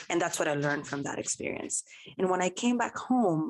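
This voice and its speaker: Music plays behind a woman speaking with a Spanish accent. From Dominican Republic. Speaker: physician. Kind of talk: interview.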